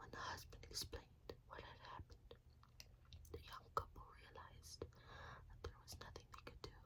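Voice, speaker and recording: A woman whispers at a fairly slow pace. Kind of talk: whispered fairytale reading for sleep. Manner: whispered.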